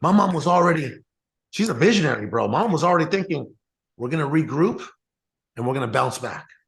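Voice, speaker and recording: A man talks very fast with lively intonation and vocal fry. His speech breaks up with long, frequent pauses. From Mexico, raised partly in US Southwest. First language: Spanish. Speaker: real estate entrepreneur. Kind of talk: interview storytelling. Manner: casual, many fillers and repetitions.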